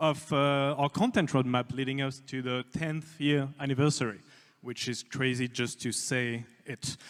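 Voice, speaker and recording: A man with a French accent at a moderate pace, in a very clean recording with a silent background. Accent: French-sounding. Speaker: game studio executive. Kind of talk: livestream presentation. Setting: livestream. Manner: soft-spoken. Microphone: quiet mic.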